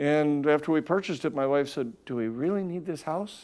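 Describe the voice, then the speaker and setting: Dark and mellow in tone, a man with a Wisconsin accent speaks at a moderate pace, fairly high in pitch with lively intonation, on a very clean recording with a silent background. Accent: Upper Midwest (Wisconsin). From Wisconsin, north of Milwaukee. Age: 60s. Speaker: company CEO. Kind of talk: interview.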